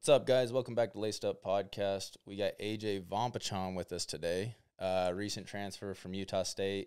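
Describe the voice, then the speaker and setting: On a very clean recording with a silent background, a man speaks at a moderate pace with hardly any pauses. He has an ordinary speaking voice, fairly low in pitch, with fairly even intonation. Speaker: podcast host and college football player. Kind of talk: casual chat.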